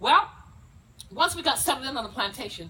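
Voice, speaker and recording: Very fast, animated speech from a woman with an American accent and lively intonation, over noticeable background noise. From South Carolina Lowcountry, Gullah community. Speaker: historical presenter. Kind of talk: dramatic presentation. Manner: animated, storytelling.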